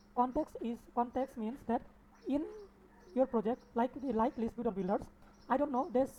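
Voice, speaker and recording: A woman with a non-native accent and a high-pitched yet dark, mellow tone talks at a fairly quick pace, her pitch varying in an ordinary way. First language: not English. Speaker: software developer teaching coding. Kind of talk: coding tutorial. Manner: halting, repeats words.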